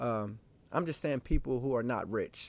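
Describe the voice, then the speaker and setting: A man at a fairly quick pace with lively intonation, on a very clean recording with a silent background. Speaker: political commentary streamer. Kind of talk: opinion monologue. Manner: fast; animated.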